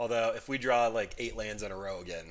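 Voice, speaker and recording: A man speaks with lively intonation. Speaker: gaming streamer. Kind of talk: live gameplay commentary. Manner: fast; casual.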